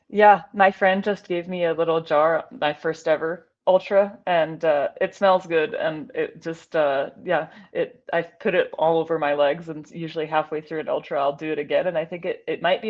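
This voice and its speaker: A woman speaks at a moderate pace with an American accent. She barely pauses, and her pitch varies in an ordinary way. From Scotland, Glasgow. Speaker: aerospace engineer and ultrarunner. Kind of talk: casual interview.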